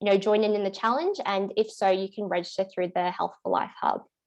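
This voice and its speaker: A woman with an Australian accent speaks at a medium pitch with fairly even intonation. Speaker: workplace wellbeing officer. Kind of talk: panel presentation. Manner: fast.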